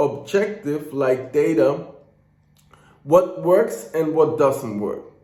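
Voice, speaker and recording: In a German accent, a man speaks at a fairly slow pace, with audible room echo. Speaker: business coach. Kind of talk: casual motivational talk to camera. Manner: unscripted, ranting; stutters at times.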